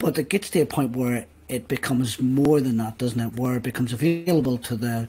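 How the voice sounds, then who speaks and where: A man talks at a fairly quick pace with a medium pitch and ordinary pitch variation. His voice is dark, mellow and somewhat breathy. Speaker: podcast host. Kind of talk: casual interview conversation.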